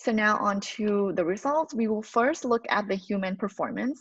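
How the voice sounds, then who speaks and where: In a Thai accent, a woman speaks at a moderate pace with a fairly high, somewhat breathy voice and lively intonation, in a dry sound with no echo and a quiet background. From Thailand. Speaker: postdoctoral researcher. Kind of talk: lecture. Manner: halting, frequent fillers. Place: home room. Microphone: webcam.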